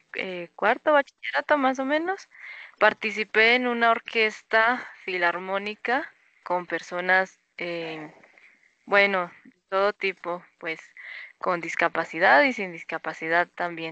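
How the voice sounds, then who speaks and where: A woman's medium-pitched voice at a very slow pace, with lively intonation and big swings in loudness. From Colombia, Boyacá. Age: 20s. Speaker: musician. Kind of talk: interview. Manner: hesitant, many fillers.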